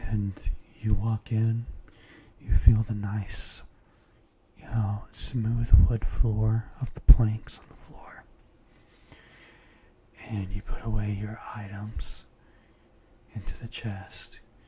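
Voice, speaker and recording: The speaker talks very slowly in a calm tone, with long, frequent pauses. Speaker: ASMR and meditation content creator. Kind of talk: guided meditation, ASMR relaxation. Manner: soft-spoken, calm, relaxing.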